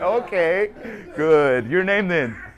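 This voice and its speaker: Very wide pitch swings in an American accent, with noticeable background noise. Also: man. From Texas, North Dallas. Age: 30s. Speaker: performance coach. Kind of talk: casual Q&A with a team. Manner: casual, joking.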